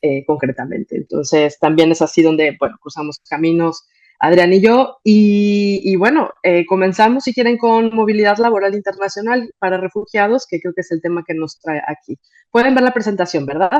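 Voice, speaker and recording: A woman with a Mexican accent speaks at a moderate pace and medium pitch, her intonation lively. The sound is dry and close, with no echo. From Mexico. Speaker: migration NGO manager. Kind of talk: conference talk. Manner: hesitant, many fillers.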